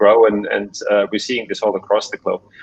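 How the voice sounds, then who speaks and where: A man speaks at a fairly quick pace with a German accent. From Germany. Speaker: tech executive. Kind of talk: panel discussion.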